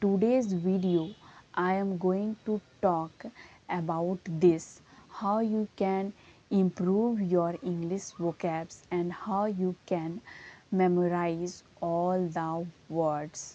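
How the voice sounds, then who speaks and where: A woman with an Indian accent speaks at a very slow pace and medium pitch. Her intonation is fairly even, her tone dark and mellow. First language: Hindi. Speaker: English teacher. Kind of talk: tutorial.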